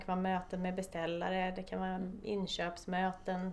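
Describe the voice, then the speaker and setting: This woman speaks at medium pitch. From Stockholm, Sweden. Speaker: construction site manager. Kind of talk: interview.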